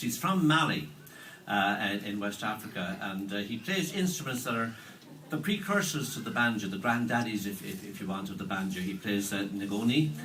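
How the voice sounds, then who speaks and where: A man with an Irish accent talks at a fairly quick pace, his fairly low voice carrying lively intonation over light background noise. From Ireland. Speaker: musician and musicologist presenting a concert; event host introducing a musician. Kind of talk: stage introduction. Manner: halting, many fillers and repeats. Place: hall. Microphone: camera far.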